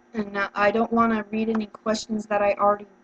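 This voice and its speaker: A woman's medium-pitched, monotone, flat voice at a fairly quick pace, over noticeable background noise. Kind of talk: practice job interview answers to camera. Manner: hesitant, frequent filler words.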